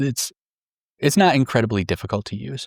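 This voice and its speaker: This man has an unremarkable speaking voice, talking at a fairly quick pace with lively intonation. The recording is very clean, with a silent background. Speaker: tabletop wargame strategy content creator. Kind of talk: scripted tactics explainer.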